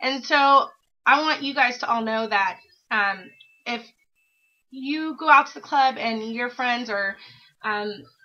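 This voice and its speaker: Her loudness swinging widely, a woman with a high pitch speaks fairly slowly with long, frequent pauses and ordinary pitch variation. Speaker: vlogger sharing weight loss surgery journey. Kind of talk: casual vlog monologue. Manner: rambling, hesitant with many fillers.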